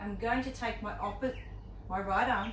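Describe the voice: At a moderate pace, a woman with a fairly high pitch speaks against clear background noise.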